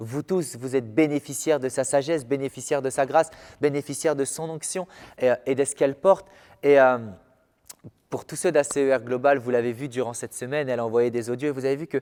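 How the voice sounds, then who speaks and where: This man's voice is fairly high in pitch, with a dark, mellow tone. He speaks very fast with fairly even intonation. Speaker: pastor. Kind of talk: sermon. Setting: filmed church service at a small table. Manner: calm and soft-spoken.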